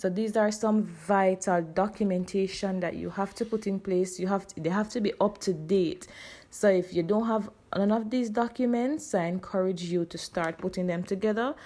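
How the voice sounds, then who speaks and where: A woman with a Jamaican accent speaks at a moderate pace. Her voice is medium in pitch, dark and mellow in tone, with ordinary pitch variation. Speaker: high school teacher. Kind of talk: casual talk to camera.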